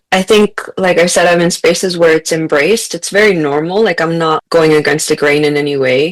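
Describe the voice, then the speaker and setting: Heard with a dry, close sound and no echo, a woman with a Spanish accent speaks at a fairly low pitch with ordinary pitch variation. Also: hardly any pauses. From US-Mexico border region, Mexican-American family. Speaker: author and teacher, podcast guest. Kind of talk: casual interview chat. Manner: conversational, some false starts.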